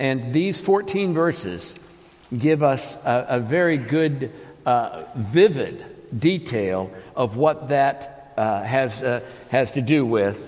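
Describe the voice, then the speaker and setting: Amid noticeable background noise and audible room echo, a man speaks at a very slow pace with lively intonation. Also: medium pitch for a man. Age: 60s. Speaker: pastor. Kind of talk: sermon. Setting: church. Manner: halting.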